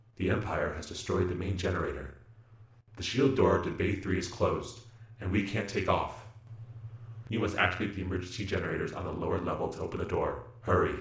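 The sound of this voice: Putting on a robotic character voice, a man talks at a fairly quick pace with fairly low pitch, long and frequent pauses, and a slight echo.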